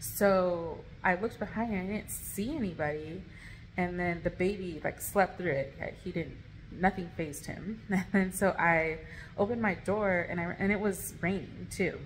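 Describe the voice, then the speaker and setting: Over light background noise, a woman speaks at a moderate pace. Her voice is somewhat breathy with fairly even intonation. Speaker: vlogger. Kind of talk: casual vlog storytime. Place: home room. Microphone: phone near.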